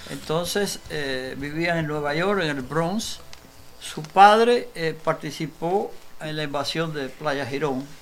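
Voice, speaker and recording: The man's voice sits fairly high and moves at a very slow pace. Audible room echo and noticeable background noise surround it. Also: ordinary pitch variation. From Cuba (Cojímar). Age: 80s+. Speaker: writer and former political prisoner. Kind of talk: interview testimony.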